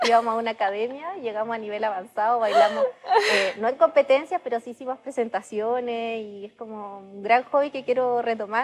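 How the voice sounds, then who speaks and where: With a Chilean accent, a woman talks at a fairly quick pace, her fairly high pitch showing ordinary pitch variation. Her loudness swings widely over noticeable background noise. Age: 30s. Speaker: startup founder. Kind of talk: podcast interview.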